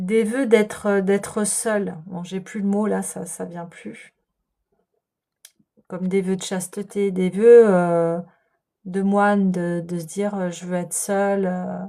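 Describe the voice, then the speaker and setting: Very slowly and softly, a woman speaks at a medium pitch with a dark, mellow tone and flat, monotone intonation, her loudness swinging widely between long, frequent pauses. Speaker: tarot and energy reader. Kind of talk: spiritual guidance reading. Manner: soft-spoken, slow; hesitant, many fillers.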